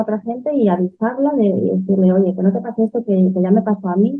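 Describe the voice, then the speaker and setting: A woman talks at a fairly quick pace in an ordinary speaking voice. Her pitch varies in an ordinary way. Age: 40s. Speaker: entrepreneur. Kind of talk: interview.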